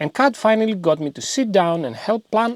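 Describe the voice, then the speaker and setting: With a Greek accent and lively intonation, a man talks at a moderate pace in a dry, close sound with no echo. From Greece. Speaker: DIY home renovation youtuber. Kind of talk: scripted narration. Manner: humorous, conversational.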